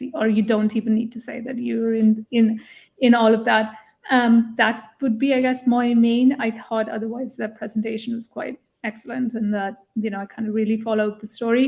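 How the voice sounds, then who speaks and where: A woman speaks at a fairly high pitch with a non-native accent. Her intonation is monotone and flat. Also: moderate pace. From India. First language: not English. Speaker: jury member giving pitch feedback. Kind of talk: panel feedback at live online event. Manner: hesitant, with fillers.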